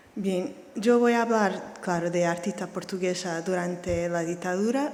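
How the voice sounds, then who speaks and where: In a room with audible echo and noticeable background noise, a woman of medium pitch speaks at a fairly slow pace. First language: Portuguese (speaking Spanish). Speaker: art historian. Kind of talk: lecture. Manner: reading slowly.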